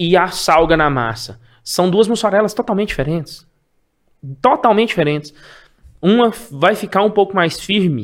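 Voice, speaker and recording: The man's voice is high-pitched, with lively intonation. He keeps a moderate pace and leaves long, frequent pauses. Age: 40s. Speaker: cheese wholesaler. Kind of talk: casual interview chat.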